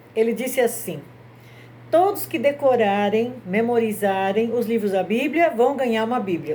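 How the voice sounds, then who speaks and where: Speaking at a moderate pace, a woman has a fairly high pitch and a dark, mellow tone. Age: 60s. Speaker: grandmother telling Bible stories. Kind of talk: religious storytelling talk.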